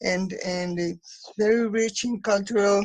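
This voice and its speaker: A somewhat breathy voice at a very slow pace. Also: woman. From Mexico. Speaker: activist from a popular artists' organization. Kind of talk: online forum discussion. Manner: halting.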